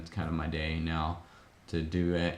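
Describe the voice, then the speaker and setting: A man's very deep, low-pitched voice, with audible room echo. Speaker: Lego builder streamer. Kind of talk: casual live stream chat. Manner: hesitant, many filler words.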